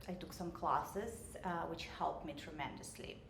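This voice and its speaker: A woman with a Russian accent speaks in a fairly low voice, with audible room echo and noticeable background noise. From Russia, Saint Petersburg. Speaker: realtor and business owner. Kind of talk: interview. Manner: hesitant, many filler sounds.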